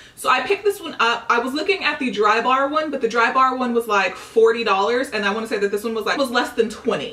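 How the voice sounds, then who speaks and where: Over noticeable background noise, a woman talks at a very fast pace in a fairly high voice with ordinary pitch variation. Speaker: beauty vlogger. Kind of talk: casual vlog haul.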